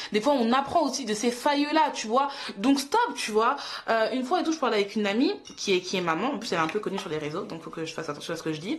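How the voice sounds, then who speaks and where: Very fast and animated, a woman speaks at a fairly high pitch with very wide pitch swings. Noticeable background noise can be heard. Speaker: YouTuber and mother. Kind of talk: casual vlog monologue.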